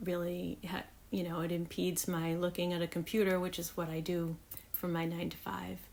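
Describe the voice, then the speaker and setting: With monotone, flat intonation, a woman speaks at a moderate pace and a fairly low pitch. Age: 50s. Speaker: thrift reseller. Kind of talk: casual talk to camera. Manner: hesitant.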